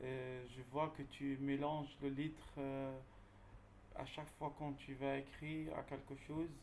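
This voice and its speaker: In a Dutch accent, a man with a fairly high pitch speaks at a very slow pace with monotone, flat intonation. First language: Dutch (speaking French). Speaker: job seeker asking questions. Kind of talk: Q&A question. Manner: halting.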